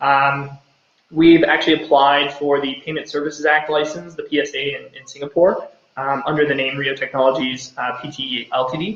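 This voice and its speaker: Big swings in loudness mark this man's speech, delivered at a moderate pace with fairly even intonation and an American accent. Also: fairly high pitch for a man. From United States. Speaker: company co-founder and CEO. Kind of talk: live Q&A session. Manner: hesitant with many fillers.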